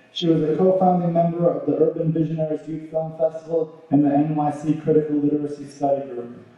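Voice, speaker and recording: A man's fairly high voice in a monotone, flat delivery at a fairly quick pace, with strong room echo. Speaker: event host. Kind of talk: formal introduction. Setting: stage with audience. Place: hall.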